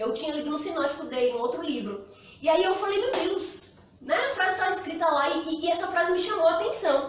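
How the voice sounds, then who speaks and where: Audible room echo surrounds a woman speaking at a fairly quick pace. Her extremely high voice has lively intonation. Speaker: pastor. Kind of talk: sermon. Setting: live stream from church. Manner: fast.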